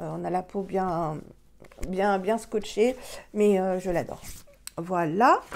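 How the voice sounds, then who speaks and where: Very slowly, with long, frequent pauses, a woman speaks at a medium pitch with fairly even intonation. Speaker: beauty vlogger. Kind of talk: product review tutorial. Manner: hesitant, many fillers. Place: home room. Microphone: phone near.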